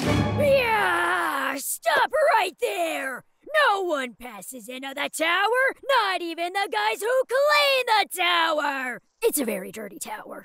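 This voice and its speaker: The voice is a high-pitched cartoonish character voice. It moves at a fairly slow pace. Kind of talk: cartoon character dialogue. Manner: gruff, then panicky. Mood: angry, blustering, comic.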